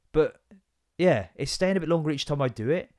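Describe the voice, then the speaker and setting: In an English accent, a man talks at a fairly quick pace with an animated tone, fairly high pitch and ordinary pitch variation, in a dry, close sound with no echo. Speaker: comedy podcast host. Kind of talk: casual comedic monologue. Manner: loud.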